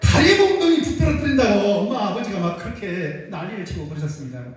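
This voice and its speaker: A man's voice comes with audible room echo. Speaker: pastor. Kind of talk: sermon.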